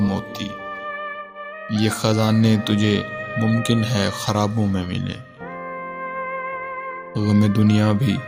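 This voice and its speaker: A man speaks over music in the background. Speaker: poetry reciter. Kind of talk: poetry reading.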